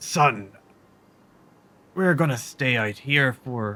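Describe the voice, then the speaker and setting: A man's put-on character voice, raspy and medium-pitched, at a very slow pace with ordinary pitch variation. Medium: actual play.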